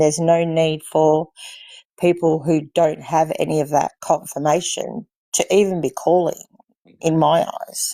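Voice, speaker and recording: Recorded very cleanly against a silent background with a dry, close sound and no echo, a woman with an Australian accent talks at a fairly slow pace in a dark, mellow tone, her fairly low pitch held in fairly even intonation. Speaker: livestream guest. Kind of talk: casual chat.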